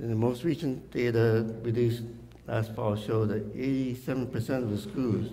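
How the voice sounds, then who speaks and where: A man speaks in a dark, mellow tone. Room echo is audible. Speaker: school district official. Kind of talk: public forum presentation.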